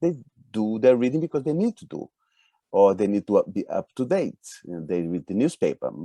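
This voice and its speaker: In a dry, close recording with no echo, a man with a dark, mellow tone talks at a fairly quick pace through very wide pitch swings. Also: medium pitch for a man. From Brazil. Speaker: speed reading and flow coach. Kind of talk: interview on a live webinar. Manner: halting, with repeated words.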